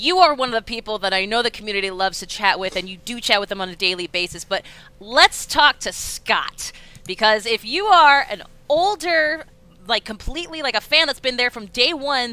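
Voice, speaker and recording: This woman sounds animated and loud, her fairly high voice making very wide pitch swings. She talks at a fairly quick pace. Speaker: livestream host. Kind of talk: live stream interview.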